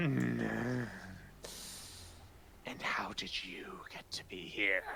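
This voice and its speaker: Growling and hissing, a put-on character voice drags along at a very slow pace over light background noise. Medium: actual play. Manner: eerie, hissing.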